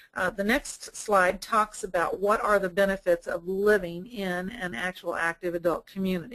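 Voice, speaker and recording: In an unremarkable speaking voice, a woman speaks at a moderate pace and medium pitch, with ordinary pitch variation and hardly any pauses. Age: 60s. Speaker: sales director at a retirement community. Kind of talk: webinar presentation. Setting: online webinar.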